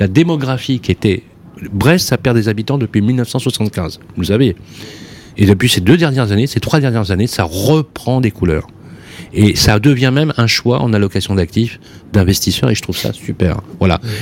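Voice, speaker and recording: There is noticeable background noise behind this man. He speaks at a medium pitch with lively intonation. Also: moderate pace. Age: 50s. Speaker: radio host. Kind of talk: radio talk show. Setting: studio. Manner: animated.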